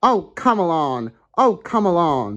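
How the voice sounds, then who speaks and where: This put-on character voice moves at a fairly slow pace with very wide pitch swings, captured in a very clean recording with a silent background. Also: man. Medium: read story. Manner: bossy, impatient.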